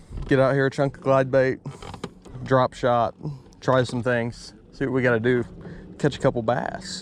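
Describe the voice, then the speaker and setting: A man with a medium pitch talks while noticeable background noise can be heard. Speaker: fishing video creator. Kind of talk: casual on-the-water vlog commentary. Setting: outdoors on a boat on a lake. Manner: quiet, low-key speaking.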